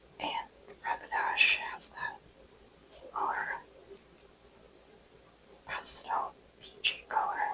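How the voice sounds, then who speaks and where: Whispering in a calm tone, very slow, with long, frequent pauses and noticeable background noise. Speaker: ASMR creator and artist. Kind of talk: ASMR roleplay, seasonal color analysis. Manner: whispered, soft, calm.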